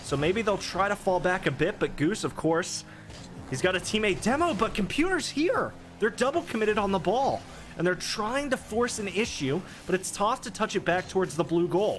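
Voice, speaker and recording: Over music in the background, a man with a high pitch speaks at a moderate pace with lively intonation. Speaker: esports caster. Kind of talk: live commentary.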